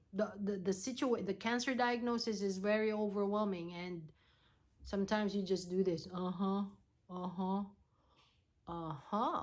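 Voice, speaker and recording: A woman speaks with a non-native accent. She leaves long, frequent pauses. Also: medium pitch for a woman, ordinary pitch variation, moderate pace. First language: not English. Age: 40s. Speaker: nurse and cancer patient. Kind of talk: vlog tutorial. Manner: halting, many fillers.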